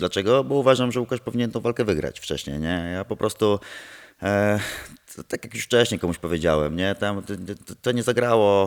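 A man with an unremarkable speaking voice, fairly low pitch, ordinary pitch variation and a moderate pace, against a quiet background. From Poland. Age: 30s. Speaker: martial arts instructor and former MMA fighter; interviewee. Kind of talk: casual interview. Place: gym. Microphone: handheld.

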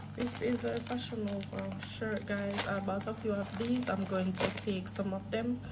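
Over loud background noise, a woman with a very deep, low voice speaks fairly slowly with hardly any pauses, her pitch swinging very widely while her loudness stays very even. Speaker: haul vlogger. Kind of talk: product unboxing vlog. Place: home room. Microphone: phone near.

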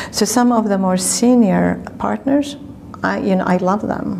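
Amid noticeable background noise, a woman with an Arabic accent speaks at a fairly slow pace. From Lebanon. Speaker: law professor. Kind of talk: oral history interview. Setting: conference hotel.

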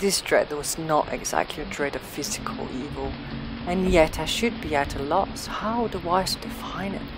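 Over music in the background, the voice moves at a moderate pace with lively intonation. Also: woman. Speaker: audiobook narrator. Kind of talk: horror story narration, literary reading.

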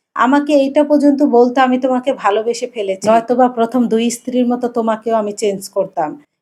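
A woman has a normal speaking voice, pitched fairly high. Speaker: vlogger. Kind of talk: personal life story narration.

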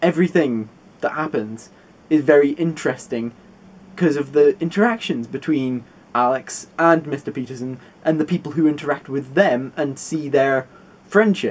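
Here a man speaks at a moderate pace. His pitch varies in an ordinary way. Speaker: book reviewer. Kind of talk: casual vlog book review. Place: home room. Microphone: webcam.

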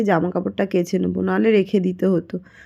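Ordinary pitch variation runs through a woman's dark, mellow tone. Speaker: vlogger. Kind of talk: vlog voice-over. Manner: stumbling speech.

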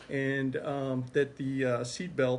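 A man speaks in a somewhat breathy voice over light background noise. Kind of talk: interview answer. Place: meeting room. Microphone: phone near.

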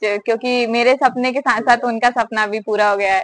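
Her bright, sharp tone and high pitch carry fairly even intonation as a woman speaks over a quiet background, with a dry sound and no echo. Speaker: interviewee. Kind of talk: interview answer. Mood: happy, proud, smiling. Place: home room. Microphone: handheld.

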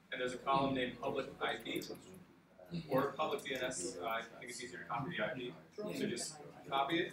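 Over noticeable background noise and audible room echo, a man at medium pitch speaks at a very fast pace with lively intonation. Long pauses break up his speech often. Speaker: workshop presenter. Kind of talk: tutorial. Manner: loud.

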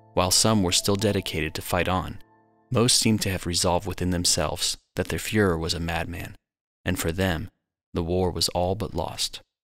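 Music in the background beneath fairly even intonation. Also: man, very deep, low pitch for a man, moderate pace. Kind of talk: documentary narration.

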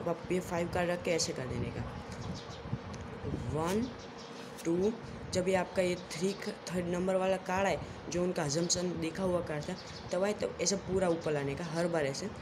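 A man speaks at a high pitch and a moderate pace, with fairly even intonation and long, frequent pauses. Noticeable background noise can be heard. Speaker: magic tutorial host. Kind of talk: casual card trick tutorial to camera. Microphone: phone near.

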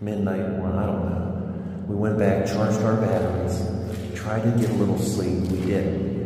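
Amid strong room echo and light background noise, a man speaks at a moderate pace in a fairly low pitch with monotone, flat intonation. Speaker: paranormal investigator vlogger. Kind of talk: casual vlog chat. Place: tunnel cave. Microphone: phone near.

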